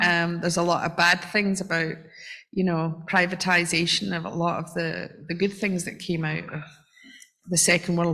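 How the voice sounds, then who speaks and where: In a bright, sharp tone, a woman with fairly low pitch speaks in a monotone, flat intonation, with audible room echo. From UK. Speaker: audience member asking a question. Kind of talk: audience question at a community talk. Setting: fellowship hall with audience, handheld mic.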